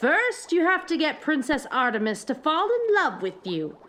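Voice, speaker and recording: This is a put-on character voice that sounds female, pitched high at a moderate pace. Its pitch swings very widely. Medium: read story. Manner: cooing, falsely soothing.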